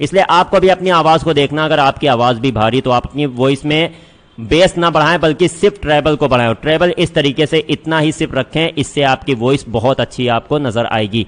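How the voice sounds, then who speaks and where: There are hardly any pauses as a man talks at a fairly high pitch with ordinary pitch variation and very even loudness. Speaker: online course instructor. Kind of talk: tutorial.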